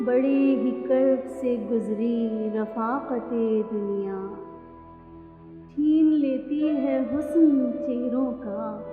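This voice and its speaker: A woman speaks at a high pitch with ordinary pitch variation. Music plays in the background. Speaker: poet. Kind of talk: poetry reading.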